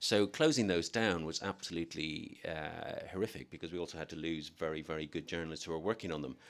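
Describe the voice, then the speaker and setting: Very fast and with hardly any pauses, a man with a Dublin accent talks in a very deep, low pitch. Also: ordinary pitch variation. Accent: Irish, Dublin. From Ireland, Dublin. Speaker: newspaper editor. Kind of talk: interview answer.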